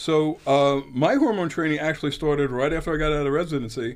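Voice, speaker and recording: Against a quiet background, a plain, everyday voice moves at a fairly quick pace. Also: man. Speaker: doctor. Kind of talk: radio interview about health. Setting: radio studio.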